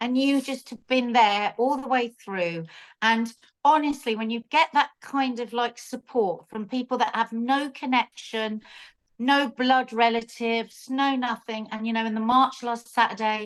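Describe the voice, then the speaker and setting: Against a quiet background, a woman with a London accent speaks at a high pitch and a fairly slow pace. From South London. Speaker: cooking show host. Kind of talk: casual chat. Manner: animated.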